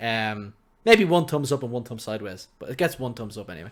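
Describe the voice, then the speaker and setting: On a very clean recording with a silent background, a man speaks with an Irish accent. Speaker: gaming podcast co-host. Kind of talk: casual chat. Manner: loud.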